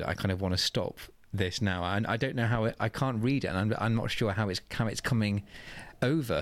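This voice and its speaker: In a very clean recording with a silent background, a man with a southern English accent speaks at a fairly low pitch. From southeast England, Oxfordshire. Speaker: drag queen. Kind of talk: interview.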